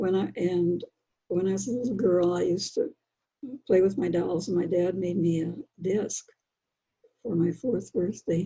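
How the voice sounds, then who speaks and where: Somewhat breathy and with an American accent, a woman talks at a moderate pace and medium pitch with ordinary pitch variation. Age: 80s+. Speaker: children's book author. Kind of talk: interview.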